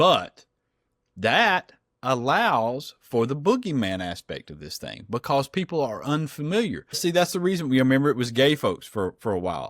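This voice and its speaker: In a strong Southern US accent, a man with a fairly high voice swings very widely in pitch and greatly in loudness at a moderate pace, recorded very cleanly with a silent background and a dry, close sound with no echo. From US South. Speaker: political podcast co-host. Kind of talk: casual chat. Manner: animated.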